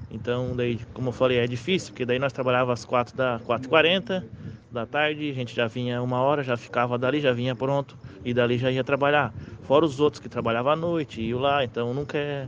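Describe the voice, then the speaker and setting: A man's normal speaking voice, medium in pitch, fairly quick, with fairly even intonation. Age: 30s. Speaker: underground welder. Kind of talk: interview.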